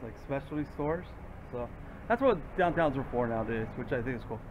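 The speaker uses ordinary pitch variation over noticeable background noise. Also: man. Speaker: vlogger. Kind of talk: casual vlog chat. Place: street. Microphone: phone near.

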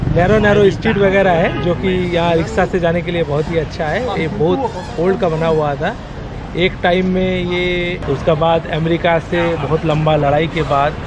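The speaker goes at a fairly slow pace while crowd noise fills the background. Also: man, high pitch for a man. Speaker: travel vlogger. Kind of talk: casual vlog chat. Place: street. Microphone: lapel.

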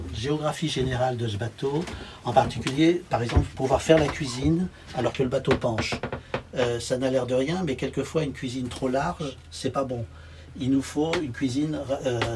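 With noticeable background noise behind him, a man talks at a moderate pace, using ordinary pitch variation and long, frequent pauses. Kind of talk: casual tour commentary. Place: boat.

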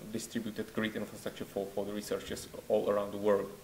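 A man speaks with a Czech accent. Light background noise can be heard. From Czech Republic. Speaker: network researcher. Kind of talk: conference presentation. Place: hall.

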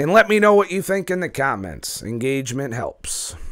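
An animated man at a moderate pace, with very wide pitch swings, on a very clean recording with a silent background. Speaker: YouTuber, keto diet commentator. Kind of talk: casual profane monologue video. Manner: profane, animated ranting.

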